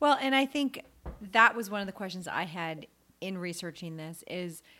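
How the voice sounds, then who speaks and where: An ordinary speaking voice from a woman at a moderate pace, on a very clean recording with a silent background. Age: 40s. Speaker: podcast co-host. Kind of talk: casual chat. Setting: in person, recording together. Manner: laughs often.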